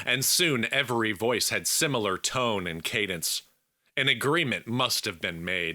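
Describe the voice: A quiet background under plain reading aloud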